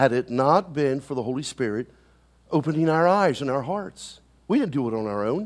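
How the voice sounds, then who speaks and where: Very wide pitch swings and an animated tone from a man with an American accent, at a fairly quick pace on a very clean recording with a silent background. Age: 60s. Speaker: pastor. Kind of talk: sermon. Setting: church.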